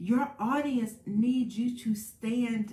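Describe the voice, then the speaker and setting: A woman speaks softly at a very slow pace, her voice somewhat breathy and fairly high-pitched. The tone is dark and mellow. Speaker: speaking coach. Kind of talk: motivational talk to camera. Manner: soft-spoken, coaching voice.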